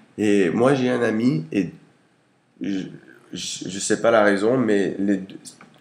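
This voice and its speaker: Amid audible room echo, a man with fairly low pitch talks at a very slow pace, leaving long, frequent pauses. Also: ordinary pitch variation. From United States. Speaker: interviewee. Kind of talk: casual interview. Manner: hesitant with fillers.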